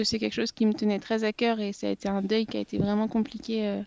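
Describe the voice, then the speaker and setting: Over a quiet background, a woman speaks at a fairly high pitch in a dark, mellow tone. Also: dry, close sound with no echo. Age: 30s. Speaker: mother sharing breastfeeding experience. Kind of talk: interview testimony. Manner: halting, many hesitations.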